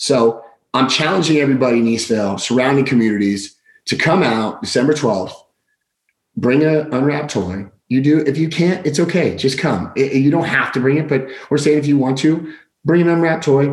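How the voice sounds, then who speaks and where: The pace is fairly quick, with ordinary pitch variation. Loudness stays very even throughout. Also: man, fairly high pitch for a man. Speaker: podcast host and community volunteer. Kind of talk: casual chat. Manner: loud, hyper, energetic.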